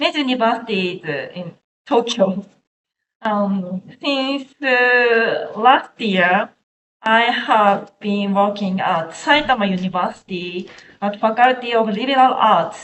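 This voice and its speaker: Speaking in a Japanese accent at a very slow pace, a woman uses a fairly high pitch with ordinary pitch variation and big swings in loudness. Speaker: researcher. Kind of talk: academic presentation. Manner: halting.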